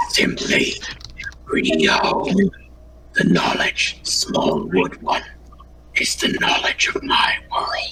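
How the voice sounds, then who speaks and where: A whispered, put-on character voice at a very slow pace, full of long, frequent pauses. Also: man. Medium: actual play. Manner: cryptic, archaic, condescending.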